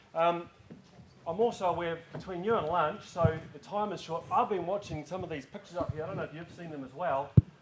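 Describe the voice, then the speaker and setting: Over noticeable background noise, a man with a New Zealand accent talks very fast at a high pitch, with ordinary pitch variation and big swings in loudness. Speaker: farming safety organisation manager. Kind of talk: conference talk. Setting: stage with audience. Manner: casual, joking.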